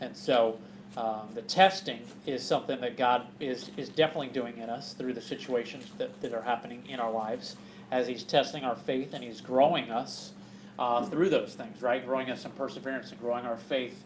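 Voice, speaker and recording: At a fairly quick pace, a man talks with ordinary pitch variation and big swings in loudness, over light background noise. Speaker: bible study teacher. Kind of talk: sermon. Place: hall. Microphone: camera far.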